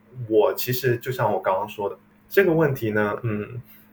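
This is a man speaking. His pace is fairly quick. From China, tea-growing region. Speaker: tea brand entrepreneur. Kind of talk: interview.

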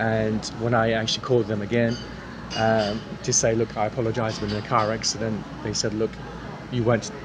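A man of medium pitch with an East Anglian accent, fairly quick yet full of long, frequent pauses, monotone and flat in intonation, over noticeable background noise. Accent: British English, East Anglian. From England, King's Lynn, Norfolk. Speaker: mock exam candidate, native speaker. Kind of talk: mock speaking exam answers. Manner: hesitant, many fillers.

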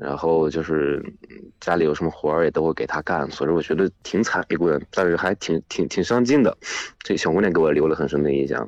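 Very deep and low in pitch, a man speaks at a fairly quick pace with ordinary pitch variation and very even loudness. The sound is dry and close, with no echo. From Shanxi, China. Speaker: volunteer teacher in Guizhou. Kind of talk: casual phone conversation. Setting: phone call.

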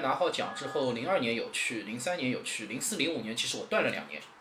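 Noticeable background noise and audible room echo come through as a man talks at a fairly quick pace with very wide pitch swings. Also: hardly any pauses. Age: 30s. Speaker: model contest organizer. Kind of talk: casual interview chat.

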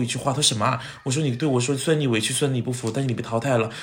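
Audible room echo and noticeable background noise are both present. Over them, a man talks at a very fast pace. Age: 30s. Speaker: TV host and actor. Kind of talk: casual chat. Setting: at home. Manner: animated.

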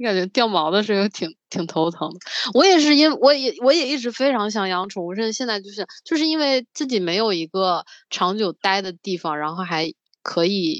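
A woman's plain, everyday voice with lively intonation at a moderate pace, dry and close with no echo, against a quiet background. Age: 20s. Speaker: podcast co-host. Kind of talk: casual chat.

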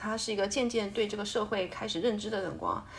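A woman with medium pitch talks at a very fast pace. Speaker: full-time mother. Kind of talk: casual chat.

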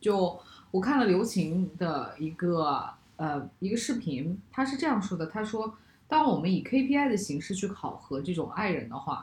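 A woman at medium pitch talks at a fairly slow pace with very wide pitch swings and a somewhat breathy sound. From China. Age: 30s. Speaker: podcast host. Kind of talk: casual chat.

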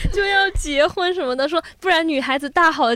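A woman speaks with very wide swings in pitch. Her pace is fairly quick. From Guangdong, China. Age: 20s. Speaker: editorial intern. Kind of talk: casual chat.

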